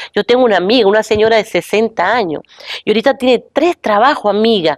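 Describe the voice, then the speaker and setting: Recorded with a dry, close sound and no echo, a woman speaks at a fairly quick pace in a fairly high voice. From Venezuela. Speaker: professor. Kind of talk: talk show discussion. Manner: animated.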